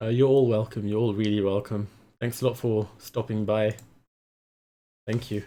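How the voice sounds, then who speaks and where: The voice has a dark, mellow tone, flat monotone intonation and a moderate pace, broken by long, frequent pauses. The recording is very clean, with a silent background. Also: man, fairly low pitch for a man. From London, England. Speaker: streamer. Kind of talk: casual live stream commentary. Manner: hesitant, many fillers.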